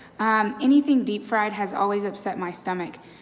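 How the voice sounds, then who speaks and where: Her medium-pitched voice shows ordinary pitch variation at a fairly quick pace. A woman speaks over noticeable background noise. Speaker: vlogger. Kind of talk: casual vlog update. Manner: casual with many fillers.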